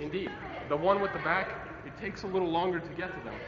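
A man rattles along at a very fast pace with noticeable noise in the background. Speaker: self-defense instructor. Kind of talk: instruction to a class. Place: hall. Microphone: camera far.

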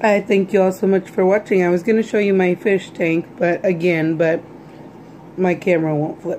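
There is light background noise as the voice moves at a moderate pace with ordinary pitch variation. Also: woman. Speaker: vlogger. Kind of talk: casual vlog chat. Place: kitchen. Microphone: phone near.

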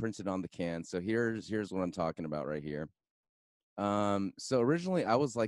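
Against a quiet background, a man talks at a fairly quick pace in a fairly low voice, the sound dry with no echo. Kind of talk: casual interview. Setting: video call. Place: home room. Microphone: studio mic.

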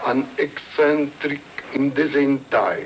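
There is light background noise as a man speaks at a very slow pace. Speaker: interviewee. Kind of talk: interview answer. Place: garden. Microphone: old recording.

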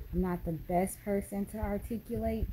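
Through noticeable background noise, a woman speaks in a somewhat breathy voice with ordinary pitch variation. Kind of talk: casual vlog chat. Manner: slow, drowsy post-surgery speech. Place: home room. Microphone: phone near.

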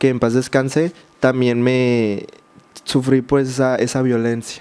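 A man speaks at a fairly slow pace with monotone, flat intonation. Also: medium pitch for a man, very even loudness. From Mexico, Baja California Sur (San José del Cabo); Baja California Sur, Mexico. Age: 20s. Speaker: social media creator. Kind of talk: interview testimony. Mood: reflective, recounting hard childhood. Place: studio. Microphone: studio mic.

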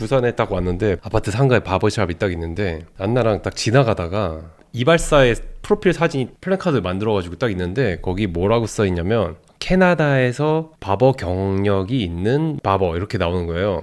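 In a very clean recording with a silent background, a man with a fairly low voice speaks at a moderate pace with lively intonation. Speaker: YouTuber, husband of the channel owner. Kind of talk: casual chat. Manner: animated, laughs often.

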